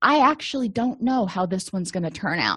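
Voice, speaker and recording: A woman speaks in a normal speaking voice at a medium pitch and moderate pace, with lively intonation. The background is quiet, and the sound is dry and close with no echo. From US, Italian-American family. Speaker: therapist / counselor. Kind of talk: educational lecture.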